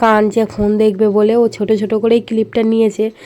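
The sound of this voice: A woman speaks at a moderate pace in a medium pitch, her tone dark and mellow, with little movement in pitch.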